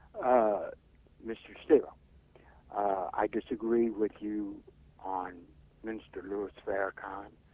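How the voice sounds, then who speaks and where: The speaker talks at a very slow pace in an American accent. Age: 70s. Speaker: caller. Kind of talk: call-in comment.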